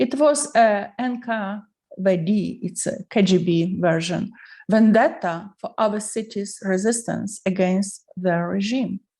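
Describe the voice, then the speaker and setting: A woman with a Ukrainian accent speaks at a medium pitch, somewhat breathy, with a dark, mellow tone and ordinary pitch variation. The background is quiet. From Ukraine, Lviv. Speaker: artist and writer, Soviet regime witness. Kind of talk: personal testimony.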